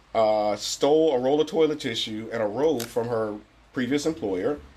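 Moderate pace, ordinary pitch variation and medium pitch in a man's unremarkable speaking voice. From Cleveland, US Midwest. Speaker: podcast co-host. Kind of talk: casual chat.

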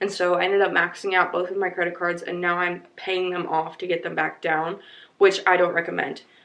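A woman speaks in a fairly low, monotone voice with flat intonation. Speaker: podcaster. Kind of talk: casual solo podcast monologue. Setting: recorded at home, thunderstorm outside.

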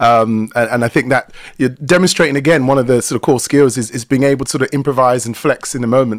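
With a South London accent, a man speaks at a very fast pace in a dry, close sound with no echo. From South London, England. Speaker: workplace culture and facilitation expert. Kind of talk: expert talk in live webinar. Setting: video call.

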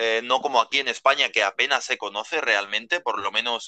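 A man's medium-pitched voice at a fairly quick pace over a quiet background. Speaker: hospitality worker. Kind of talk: casual chat. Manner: halting.

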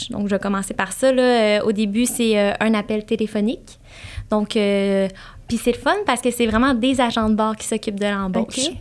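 In a Quebec accent, a woman with a fairly high voice speaks at a moderate pace with fairly even intonation. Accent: Québécois French. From Quebec, Saint-Hyacinthe south of Montreal. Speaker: flight attendant. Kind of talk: casual interview.

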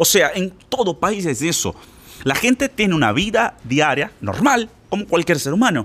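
A man speaks in an animated tone with a high pitch, very wide pitch swings and a fairly slow pace. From Brazil. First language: Portuguese (speaking Spanish). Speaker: Spanish teacher. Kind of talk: podcast monologue.

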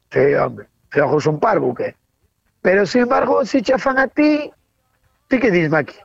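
A woman at a medium pitch speaks at a fairly slow pace with vocal fry, very wide pitch swings, and long, frequent pauses. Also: very even loudness. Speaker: radio collaborator. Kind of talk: casual chat.

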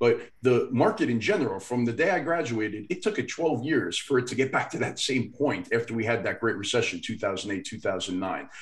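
With a plain, everyday voice, a man talks at a moderate pace and medium pitch, his intonation lively and hardly any pauses between words. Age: 40s. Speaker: finance podcast co-host. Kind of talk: casual chat.

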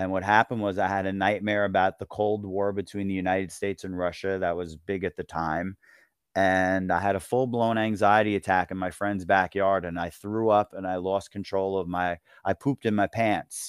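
A man with a New York accent speaks at a moderate pace in a monotone, flat intonation. The recording is very clean, with a silent background and a dry, close sound with no echo. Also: fairly low pitch for a man. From US Northeast, Long Island, New York. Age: 50s. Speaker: author and retired teacher. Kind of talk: interview. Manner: halting, many fillers.

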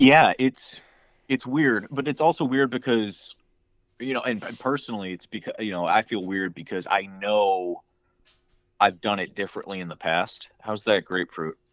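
Recorded dry and close with no echo, a man with a normal speaking voice and a fairly low pitch talks at a moderate pace with ordinary pitch variation. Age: 20s. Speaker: friend and guest. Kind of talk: casual chat. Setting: remote call from his room.

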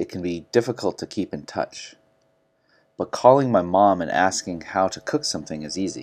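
With a General American accent and a plain, everyday voice, a man speaks at a moderate pace with lively intonation and big swings in loudness on a very clean recording with a silent background. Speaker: English teacher. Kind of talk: language lesson, explaining and correcting. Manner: clear, teacherly.

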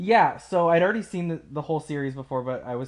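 This man has an unremarkable speaking voice and talks at a fairly quick pace. His pitch varies in an ordinary way. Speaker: podcast host. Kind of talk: casual chat.

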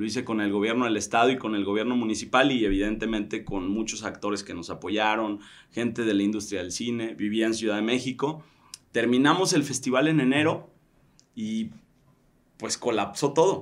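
This is a man with an unremarkable speaking voice. His pitch is medium. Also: ordinary pitch variation, moderate pace. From Tequila, Jalisco, Mexico. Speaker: event organizer and founder of a business leaders network. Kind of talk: casual interview conversation.

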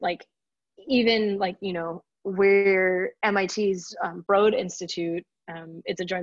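The speaker has an American accent and a fairly slow pace. Intonation stays fairly even, and the sound is dry and close with no echo. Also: woman. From Texas, Houston suburbs. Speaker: PhD student in biological engineering. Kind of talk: casual interview. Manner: hesitant with frequent fillers.

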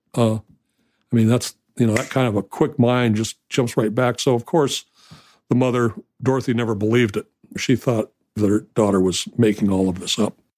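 A man at a moderate pace and medium pitch, with fairly even intonation, long, frequent pauses and a very clean recording over a silent background. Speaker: family member recounting memories. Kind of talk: casual interview recollection.

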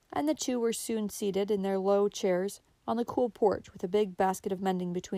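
This is someone reading aloud in a natural voice with fairly even intonation.

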